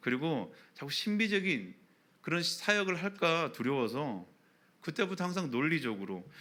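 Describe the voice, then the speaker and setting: A man's fairly high, bright, sharp voice with very wide pitch swings at a moderate pace, in a very clean recording over a silent background. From Daegu, Gyeongsang, South Korea. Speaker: pastor. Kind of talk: sermon.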